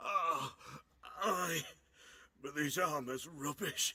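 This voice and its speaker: A put-on character voice at a middle pitch drawls out at a very slow pace. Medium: video game. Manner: gruff, colloquial.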